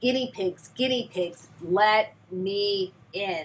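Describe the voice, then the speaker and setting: A woman's put-on character voice at a medium pitch and a very slow pace. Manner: menacing.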